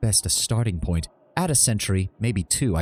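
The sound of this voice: An unforced reading voice carries this recording.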